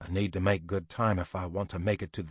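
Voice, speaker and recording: Over a quiet background, a man growls in a put-on character voice at a very deep, low pitch, talking at a very fast pace with monotone, flat intonation. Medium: read story. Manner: stubborn, muttering.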